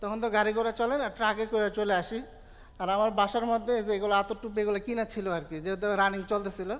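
A man talks at a high pitch. His intonation stays fairly even. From Bangladesh. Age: 30s. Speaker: online entrepreneur, madrasa graduate; guest. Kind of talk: personal success story testimony. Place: hall.

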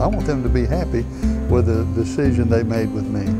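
A man at a fairly quick pace over clear music in the background. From Bessemer, Alabama. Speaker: car salesman, former pastor. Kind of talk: interview answer. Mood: warm, sincere. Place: shop. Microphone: lapel.

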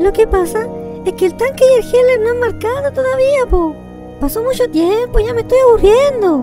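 At a moderate pace, a cartoonish character voice pitched extremely high talks over clear music in the background. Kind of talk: parody game comedy dialogue.

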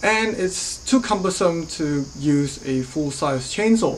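Over light background noise, a woman speaks at a very slow pace with very wide pitch swings. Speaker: horticulturist reviewing garden gear. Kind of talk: product review vlog. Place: garage. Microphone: phone near.

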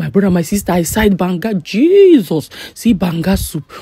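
A woman with a Nigerian accent speaks at a fairly low pitch with very wide pitch swings, in a dry sound with no echo. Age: young. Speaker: vlogger. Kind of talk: casual vlog talk to camera. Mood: excited, amused. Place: hall. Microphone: phone near.

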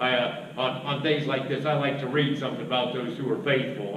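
The voice belongs to a man. Noticeable background noise mixes with audible echo from the room. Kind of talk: church announcements. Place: church. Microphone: podium.

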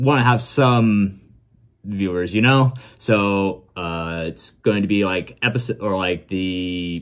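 The background is quiet. A man speaks with a fairly low pitch and ordinary pitch variation. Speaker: reaction video creator. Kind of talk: casual vlog chat. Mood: relaxed, chatty. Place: home room.

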